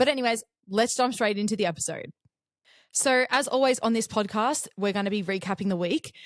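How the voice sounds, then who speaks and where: A woman with an Australian accent talks at a fairly quick pace and fairly high pitch, with ordinary pitch variation, over a quiet background. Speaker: podcast host. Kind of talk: casual chat. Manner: fast.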